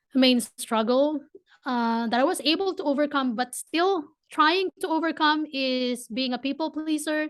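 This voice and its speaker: A woman speaks with a Filipino accent. The background is quiet. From Philippines. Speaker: entrepreneur. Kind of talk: podcast interview. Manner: hesitant, many repeats.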